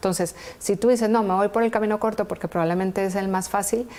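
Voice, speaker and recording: This is an ordinary speaking voice, a woman of medium pitch talking at a fairly quick pace with fairly even intonation. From Colombia, Valle del Cauca and Pereira. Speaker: entrepreneur, engineer. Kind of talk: TV interview.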